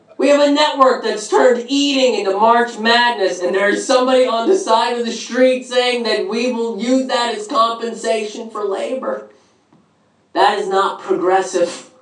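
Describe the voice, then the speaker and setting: Audible room echo carries a man's extremely high-pitched voice, which has ordinary pitch variation. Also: moderate pace. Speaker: stand-up comedian. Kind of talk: stand-up comedy. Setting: stage with live audience. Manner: conversational, rhetorical 'right?' tags, some stumbling starts. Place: stage.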